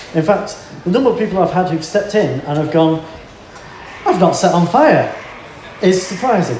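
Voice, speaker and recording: Over noticeable background noise, a man with a high voice speaks with ordinary pitch variation and long, frequent pauses. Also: moderate pace. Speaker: family support worker and co-presenter. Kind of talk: conference talk. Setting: stage with audience.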